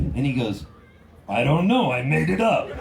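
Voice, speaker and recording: A man talks in an animated tone. Noticeable background noise and audible room echo are present. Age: 60s. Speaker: singer-songwriter. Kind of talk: storytelling between songs at a concert. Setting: outdoor festival stage with audience.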